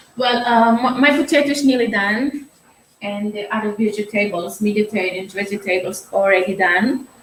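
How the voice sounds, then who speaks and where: Noticeable background noise accompanies a voice with ordinary pitch variation. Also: woman, fairly high pitch for a woman, moderate pace. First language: not English (Portuguese or Tetum). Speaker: cooking vlogger. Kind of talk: live-stream cooking tutorial. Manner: halting, frequent fillers.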